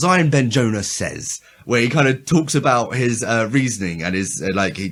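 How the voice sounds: Lively intonation from a natural reading voice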